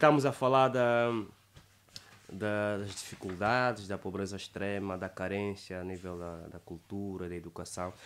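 At a fairly slow pace, a man speaks with a fairly low pitch and ordinary pitch variation. His loudness swings widely, and light background noise can be heard. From Angola. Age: 20s. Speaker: poet and declaimer. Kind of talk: interview answer. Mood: earnest, calm. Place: studio. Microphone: studio mic.

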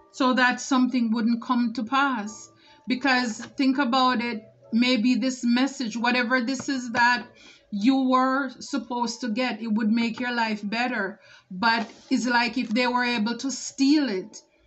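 Over music in the background, a woman talks at a fairly slow pace in a high pitch with monotone, flat intonation. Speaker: tarot reader. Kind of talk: tarot reading commentary. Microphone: phone near.

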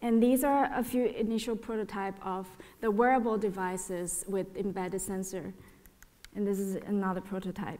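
A woman's medium-pitched voice, an unremarkable speaking voice, moves at a moderate speed with normal rises and falls. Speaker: artist and educator; educator. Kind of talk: panel presentation; lecture. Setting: stage with audience. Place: hall. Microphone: podium.

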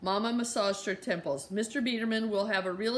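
It is a natural reading voice with fairly even intonation.

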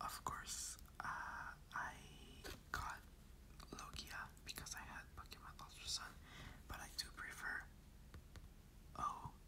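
Whispering, a man speaks at a very slow pace with long, frequent pauses. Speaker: ASMR content creator. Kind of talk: ASMR whisper ramble to camera. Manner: whispered, soft.

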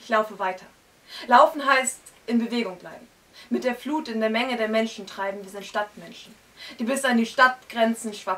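A woman's fairly high voice at a moderate pace, with ordinary pitch variation, long, frequent pauses and big swings in loudness. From northern Germany, Hamburg area; northern Germany. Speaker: slam poet. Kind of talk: poetry slam performance. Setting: stage with audience in a bookshop. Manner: rhythmic. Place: shop.

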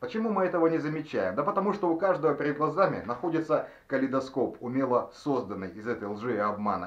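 A man rushes along at a very fast pace with hardly any pauses. His pitch swings very widely. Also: fairly high pitch for a man. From Russian Far East, Nikolayevsk-on-Amur. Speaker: video blogger. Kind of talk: tutorial.

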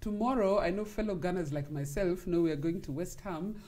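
With a dark, mellow tone, a woman speaks somewhat breathily with lively intonation. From Kenya. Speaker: sports talk show host. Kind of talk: interview. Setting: studio. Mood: cheerful, animated. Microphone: lapel.

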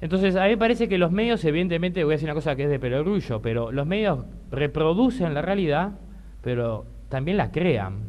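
The speaker moves at a fairly quick pace, with very wide swings in pitch. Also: man, fairly high pitch for a man. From Uruguay. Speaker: LGBT rights activist; panelist. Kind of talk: panel talk. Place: hall. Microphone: podium.

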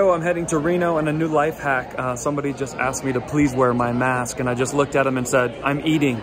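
Through noticeable background noise, a man speaks at a very fast pace with fairly even intonation. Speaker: comedian. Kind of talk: casual vlog chat. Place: station. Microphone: lapel.

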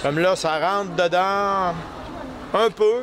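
A man with a Quebec accent, high pitch and ordinary pitch variation, over noticeable background noise. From Quebec, Canada. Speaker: maple syrup maker at a sugar shack stand. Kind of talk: casual demonstration explaining to visitors. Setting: outdoors at a Christmas market. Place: market.

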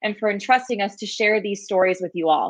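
With ordinary pitch variation and a moderate pace, a woman speaks while the background stays quiet. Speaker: program director and webinar host. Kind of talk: moderated live-stream introduction and wrap-up. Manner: friendly, hesitant with filler words. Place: home room. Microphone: webcam.

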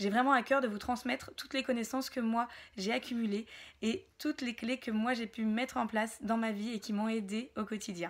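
The voice moves at a moderate pace with fairly even intonation against a quiet background. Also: woman, fairly high pitch for a woman. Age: 30s. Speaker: wellness practitioner and entrepreneur; wellness workshop host. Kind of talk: self-presentation to camera. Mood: warm, smiling, friendly. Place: home room. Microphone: phone near.

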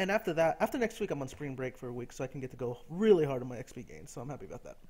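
An ordinary speaking voice that carries a lively intonation. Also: man. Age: 20s. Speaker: gaming YouTuber. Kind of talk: casual gameplay commentary monologue. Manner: rambling, with many fillers.

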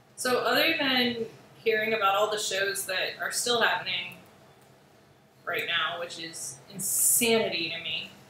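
A woman talks at a fairly slow pace with a medium pitch and ordinary pitch variation. Noticeable background noise and audible room echo fill the recording. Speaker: artist livestreaming sketches. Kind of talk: casual livestream chat.

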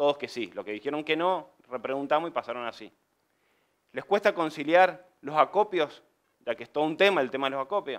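In a quiet setting, a man speaks at a fairly quick pace and fairly high pitch with ordinary pitch variation. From Argentina, Mendoza; Argentina. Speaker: civil engineer and construction business owner; presenter. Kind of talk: conference presentation. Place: meeting room.

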